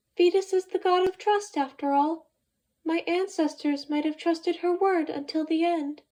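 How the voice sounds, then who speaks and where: A put-on character voice at a moderate pace. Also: woman, extremely high pitch for a woman. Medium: read story. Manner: formal, clipped.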